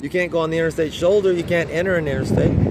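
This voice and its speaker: Talking at a very fast pace, a man uses a high pitch over noticeable background noise. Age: 60s. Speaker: cyclist vlogger. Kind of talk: casual vlog monologue. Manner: halting, repetitive.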